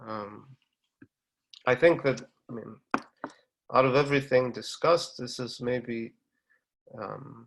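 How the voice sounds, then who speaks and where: Speaking at a fairly slow pace with long, frequent pauses, a man keeps a medium pitch and fairly even intonation while his loudness swings widely. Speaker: mathematician giving a seminar talk. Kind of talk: lecture. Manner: hesitant, many fillers and repetitions.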